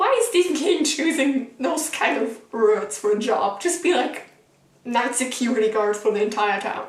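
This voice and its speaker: A woman speaks with a German accent at a moderate pace, with ordinary pitch variation. Audible room echo and noticeable background noise fill the recording. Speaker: book vlogger. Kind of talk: casual vlog review. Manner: animated, casual.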